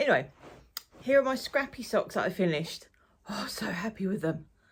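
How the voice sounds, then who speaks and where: A woman speaks with an Essex accent. Her voice is somewhat breathy, with lively intonation. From Essex, England. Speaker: knitting podcaster and crafter. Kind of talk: casual chat. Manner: casual, with many fillers.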